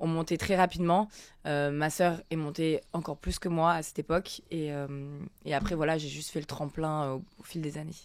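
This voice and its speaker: The voice keeps a monotone, flat intonation at a moderate pace on a very clean recording with a silent background. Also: woman, very deep, low pitch for a woman. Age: 30s. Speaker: influencer and former reality TV contestant. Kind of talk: interview. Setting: studio.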